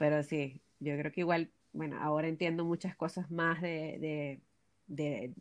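A woman speaks with a very deep, low pitch and fairly even intonation. The background is quiet. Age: 20s. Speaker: architect and BIM specialist. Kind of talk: casual chat.

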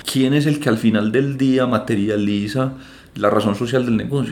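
A man at medium pitch with ordinary pitch variation and audible room echo. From Colombia, Antioquia (Medellín). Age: 30s. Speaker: financial advisor. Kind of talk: interview.

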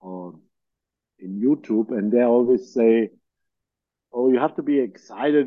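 This man talks fairly slowly. He has a German accent. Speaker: podcast host and producer. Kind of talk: casual interview chat. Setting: video call.

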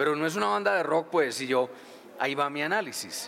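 This man's fairly high voice is heard with noticeable background noise. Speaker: rock radio DJ and author. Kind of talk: live interview at book launch.

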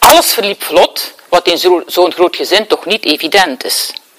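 With noticeable background noise behind her, a woman speaks at a fairly slow pace. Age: 60s. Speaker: therapist and speaker. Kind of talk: lecture.

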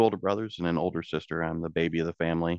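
With a Midwestern US accent, a man talks at a very fast pace in a very deep, low pitch. His intonation is fairly even, and the sound is dry and close with no echo. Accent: US Midwest. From central Illinois. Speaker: towboat captain. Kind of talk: interview.

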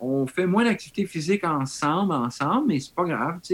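Lively intonation marks a man's ordinary speaking voice. He keeps a moderate pace. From Quebec. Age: 50s. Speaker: model and cyclist. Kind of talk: casual chat.

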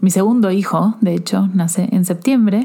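Against clearly audible background noise, a woman talks with fairly level intonation. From Argentina. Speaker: self-love coach and podcast host. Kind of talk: personal testimony. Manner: halting.

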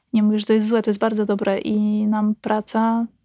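Somewhat breathy at a moderate pace, the voice comes through a very clean recording with a silent background and a dry, close sound with no echo. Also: woman. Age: 30s. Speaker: nurse. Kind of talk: casual chat.

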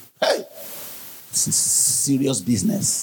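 A man talks in an animated tone, his pitch swinging very widely. His voice is somewhat breathy. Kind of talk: sermon. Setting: church. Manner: animated, exhorting the congregation; urgent, forceful preaching.

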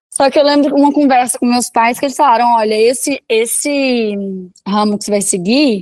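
This woman has an ordinary speaking voice. Her pitch is fairly high, with ordinary variation. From Belo Horizonte, Minas Gerais, Brazil. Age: 20s. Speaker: fashion influencer. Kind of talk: interview.

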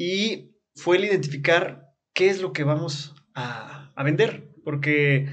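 A man speaks with a fairly high pitch and a somewhat breathy quality. Audible room echo surrounds his voice. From Chiapas, Mexico (Comitán). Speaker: experiential tourism operator. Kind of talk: casual interview.

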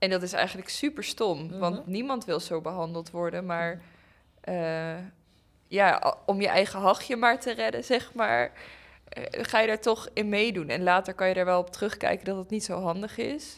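In a very clean recording with a silent background, a woman with medium pitch and an unremarkable speaking voice talks at a moderate pace with lively intonation. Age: 20s. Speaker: pedagogy student. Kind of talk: casual chat.

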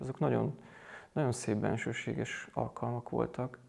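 Speaking at a moderate pace, a man is heard on a very clean recording with a silent background. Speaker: Jesuit priest, college rector. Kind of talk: interview conversation. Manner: halting, many repetitions.

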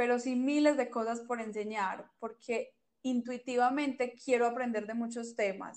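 A woman's high-pitched voice at a moderate pace, with monotone, flat intonation. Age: 20s. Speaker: podcast co-host, publicist. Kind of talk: casual chat.

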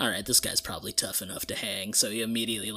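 What we hear is a natural reading voice.

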